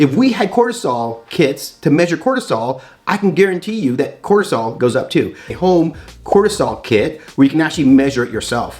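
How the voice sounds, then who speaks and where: Over music in the background, a man speaks in an animated tone at a fairly quick pace with very wide pitch swings. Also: fairly high pitch for a man. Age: 50s. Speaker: doctor and YouTube educator. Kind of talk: educational talk. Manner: fast.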